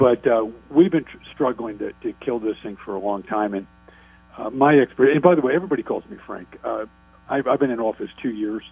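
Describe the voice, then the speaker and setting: Music plays behind a man speaking at a medium pitch. He moves at a fairly quick pace, with big swings in loudness. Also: lively intonation. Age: 60s. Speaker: state politician. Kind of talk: radio interview.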